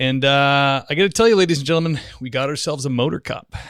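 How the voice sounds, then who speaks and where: Heard on a very clean recording with a silent background, a man has an ordinary speaking voice, a fairly high pitch, a moderate pace and ordinary pitch variation. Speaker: podcast host. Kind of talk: podcast intro.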